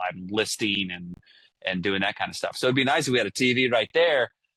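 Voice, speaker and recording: A man with a US Midwestern accent speaks in a bright, sharp tone, recorded with a dry, close sound and no echo. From Ohio, US Midwest. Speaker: podcast host. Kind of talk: casual chat. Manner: loud; animated.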